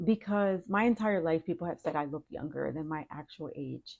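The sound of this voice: The tone is slightly mellow, with vocal fry. Intonation stays fairly even. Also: woman.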